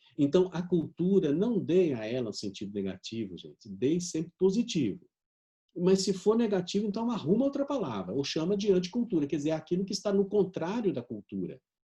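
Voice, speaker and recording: This man's voice is high in pitch with a dark, mellow tone and very wide pitch swings. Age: 60s. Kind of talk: conference talk. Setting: video conference.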